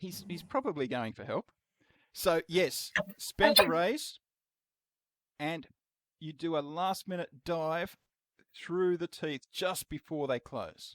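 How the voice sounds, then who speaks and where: In an Australian accent, the speaker talks at a very slow pace with long, frequent pauses and ordinary pitch variation. The loudness swings widely, and the sound is dry and close with no echo. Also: man, high pitch for a man. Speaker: game master. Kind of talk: casual game talk to players.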